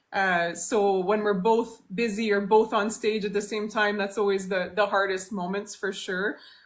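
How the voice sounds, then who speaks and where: A woman with a Franco-Ontarian accent speaks at medium pitch and a moderate pace, monotone and flat, with hardly any pauses, in a very clean recording over a silent background. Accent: Franco-Ontarian Canadian English. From Timmins, northern Ontario, Canada. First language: French. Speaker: singer-songwriter. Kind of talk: interview. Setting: TikTok live stream from home. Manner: hesitant, many fillers.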